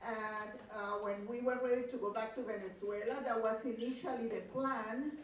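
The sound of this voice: A woman speaks at a fairly high pitch with fairly even intonation, and the room echo is audible.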